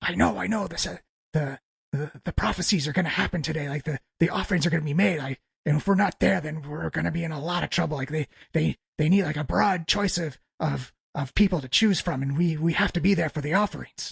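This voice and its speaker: A man speaks very fast in a raspy, put-on character voice, pitched fairly high, with a dry, close sound and no echo. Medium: actual play. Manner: nervous, rambling.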